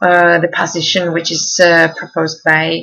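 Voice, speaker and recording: The woman's voice is fairly low in pitch, and her pace is moderate. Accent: Czech. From Czech Republic. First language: Czech. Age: 20s. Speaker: university student. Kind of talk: self-presentation. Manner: halting, many fillers.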